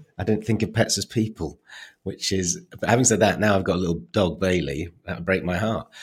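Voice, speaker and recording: On a very clean recording with a silent background, a somewhat breathy man speaks fairly quickly in a very deep, low pitch with ordinary pitch variation. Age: 50s. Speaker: author, playwright and comedian. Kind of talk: casual chat.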